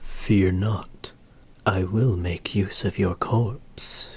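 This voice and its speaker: Someone whispers quietly and breathily in a put-on character voice. The pace is very slow. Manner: whispery, quiet, ASMR-like.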